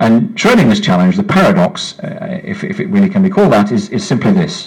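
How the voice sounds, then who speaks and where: Against noticeable background noise, a man talks at a moderate pace. His intonation is lively. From West Midlands, England. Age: 50s. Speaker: science writer. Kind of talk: public talk. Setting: pub with live audience. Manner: animated.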